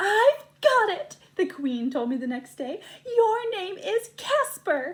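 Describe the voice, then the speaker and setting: A woman's squeaky, put-on character voice, extremely high in pitch, with very wide pitch swings at a fairly slow pace. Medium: read story.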